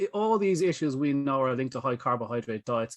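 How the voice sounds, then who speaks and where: The man's medium-pitched voice comes through against a quiet background. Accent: Irish. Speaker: pet nutrition expert. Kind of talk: panel discussion. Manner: talkative.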